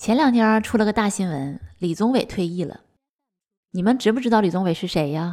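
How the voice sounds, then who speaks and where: A woman speaks in an animated tone at a medium pitch. Her pitch varies in an ordinary way. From Northeast China. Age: 30s. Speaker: podcast host. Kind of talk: storytelling narration.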